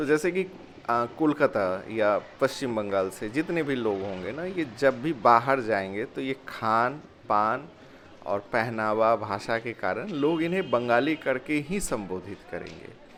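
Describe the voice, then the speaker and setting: A man speaks with a Bihar accent and lively intonation. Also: medium pitch for a man. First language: Angika (speaking Hindi). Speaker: vlogger and teacher. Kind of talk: vlog explanation. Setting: outdoors. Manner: hesitant with fillers.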